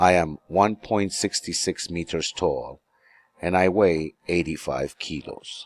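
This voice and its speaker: Over music in the background, a man with a very deep, low pitch speaks at a very slow pace with ordinary pitch variation, in a dry, close sound with no echo. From New York City, US. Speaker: English teacher. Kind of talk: self-introduction lesson.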